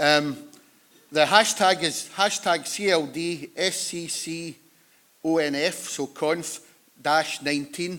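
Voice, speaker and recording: A man speaks very slowly in a West of Scotland accent, his fairly high voice bright and sharp, with long, frequent pauses. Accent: West of Scotland Scottish. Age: 60s. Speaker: conference chair. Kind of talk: conference opening remarks. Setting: conference hall with audience. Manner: informal, joking.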